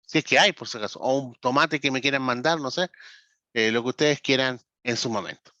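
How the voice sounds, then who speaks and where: A man talks at a medium pitch with ordinary pitch variation and a bright, sharp tone. The sound is dry and close with no echo, over a quiet background. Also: fairly quick pace. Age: 40s. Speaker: pastor and ministry trainer. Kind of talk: online lecture. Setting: video call.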